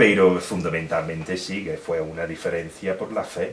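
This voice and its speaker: Very deep, low speech from a man with a southern Spanish accent, monotone and flat, with noticeable background noise and audible room echo. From Britain. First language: English (speaking Spanish). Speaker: historian and author. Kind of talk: Q&A at book presentation. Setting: bookshop event with audience. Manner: halting, many fillers.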